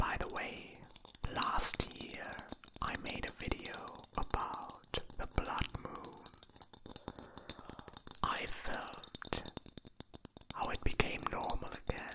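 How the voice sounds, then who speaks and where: A man whispers at a very slow pace, leaving long, frequent pauses. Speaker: ASMR creator. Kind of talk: ASMR whisper video. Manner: soft-spoken, whispered. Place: home room. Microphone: handheld.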